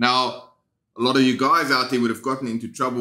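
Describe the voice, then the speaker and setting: The speaker is a man with a South African accent. His tone is bright and sharp. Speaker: guitar teacher. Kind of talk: tutorial. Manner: casual, conversational.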